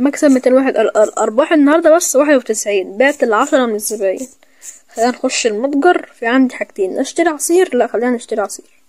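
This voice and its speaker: Animated in tone, the speaker talks at a fairly quick pace in an Egyptian accent with ordinary pitch variation. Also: man, extremely high pitch for a man. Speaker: gaming YouTuber. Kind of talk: gameplay commentary. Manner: fast.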